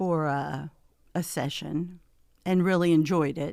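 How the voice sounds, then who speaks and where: A woman with a Midwestern American accent speaks in a very deep, low voice at a fairly slow pace. Her intonation is fairly even, and the recording is very clean with a silent background. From US Midwest, Hastings, Nebraska. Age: 70s. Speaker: retiree and gym member. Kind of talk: casual interview. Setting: studio. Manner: halting.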